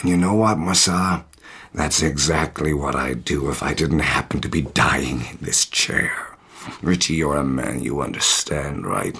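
A man with a very deep, low pitch puts on a character voice, keeping to a moderate pace. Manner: playing a dramatic old-fashioned character.

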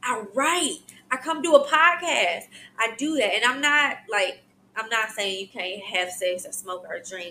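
Bright and sharp in tone, a woman sounds animated, with very wide pitch swings. She moves at a fairly slow pace, and her loudness swings widely. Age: 30s. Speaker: podcast host, social worker. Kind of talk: casual monologue.

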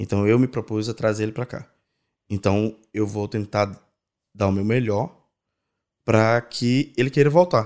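A fairly low-pitched man at a fairly slow pace, with ordinary pitch variation and long, frequent pauses, on a very clean recording with a silent background. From Brazil, Natal (Rio Grande do Norte). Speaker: event producer. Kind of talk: casual interview.

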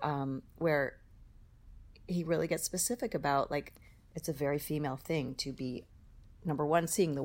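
A woman with an American accent speaks at a moderate pace, her very deep, low pitch showing vocal fry and ordinary variation. The recording is very clean, with a silent background. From Boston area, US. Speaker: singer-songwriter. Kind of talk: casual interview chat.

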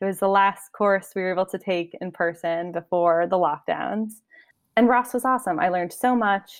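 Speaking at a moderate speed, a woman uses an unremarkable speaking voice with medium pitch and ordinary pitch variation. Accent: American. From upstate New York, Albany area. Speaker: MBA student and teaching assistant. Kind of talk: casual interview.

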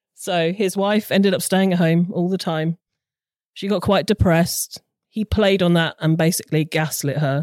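A woman with a British accent speaks at a moderate pace, her fairly low voice holding a fairly even intonation. The recording is very clean with a silent background and a dry, close sound with no echo. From southern England, Hampshire. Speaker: crime podcast writer. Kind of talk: storytelling.

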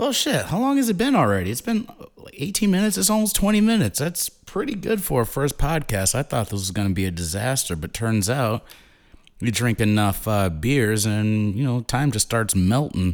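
A man speaks at medium pitch and a fairly quick pace. His pitch swings very widely. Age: 30s. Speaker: podcast host. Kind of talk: casual monologue. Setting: recording alone. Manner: animated.

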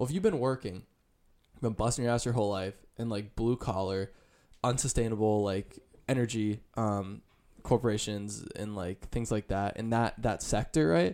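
An ordinary speaking voice from a man, fairly low in pitch, with fairly even intonation and a moderate pace. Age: 20s. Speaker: college student. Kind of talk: casual chat.

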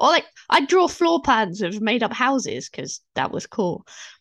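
Against a quiet background, a woman with a British accent speaks at a moderate pace with very wide pitch swings. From UK. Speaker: fantasy author, former librarian. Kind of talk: interview conversation.

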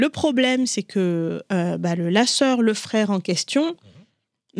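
A woman speaks very slowly with lively intonation. The sound is dry and close with no echo, on a very clean recording with a silent background. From Africa, Comorian family, raised in several African countries. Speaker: writer and entrepreneur. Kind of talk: interview. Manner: halting, with frequent repetitions.

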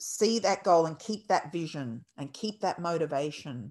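In an Australian accent, a woman with a very deep, low pitch talks at a fairly slow pace in a passionate tone against a quiet background. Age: 50s. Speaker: birth educator and dance teacher. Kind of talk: interview. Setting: video call.

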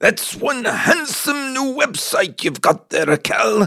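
A man's raspy, put-on character voice at an extremely high pitch, in an Irish accent at a fairly slow pace. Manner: attempted, imitative.

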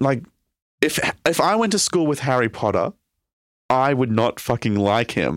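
A man with an Australian accent at medium pitch and moderate pace, with very wide pitch swings, very even loudness, long, frequent pauses and a dry, close sound with no echo. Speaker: podcast co-host, comedian. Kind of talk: casual chat. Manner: animated.

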